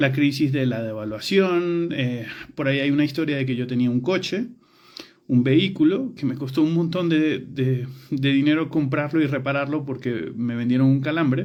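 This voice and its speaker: A man's fairly high voice in a Venezuelan accent, moderate pace, ordinary pitch variation and audible room echo. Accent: Latin American (Venezuelan). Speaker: architecture educator. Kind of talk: personal storytelling monologue. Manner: hesitant with filler words and repetitions.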